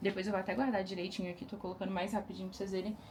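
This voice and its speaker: A woman speaks over noticeable background noise. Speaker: lingerie brand owner. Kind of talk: casual vlog. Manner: fast; animated.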